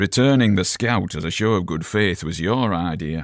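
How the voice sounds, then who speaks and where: A man's put-on character voice, gruff and growling, very deep and low, at a moderate pace with ordinary pitch variation, on a very clean recording with a silent background. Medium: read story.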